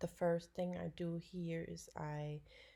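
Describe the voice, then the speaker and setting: A woman with a very deep, low pitch and a dark, mellow, somewhat breathy tone speaks at a fairly slow pace with fairly even intonation. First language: German. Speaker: dog photographer. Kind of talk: tutorial. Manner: halting.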